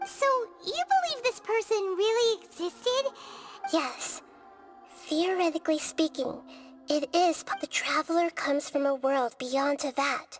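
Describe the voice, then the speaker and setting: A put-on character voice at an extremely high pitch, with long, frequent pauses and faint music in the background. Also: moderate pace. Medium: video game. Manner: calm, explanatory.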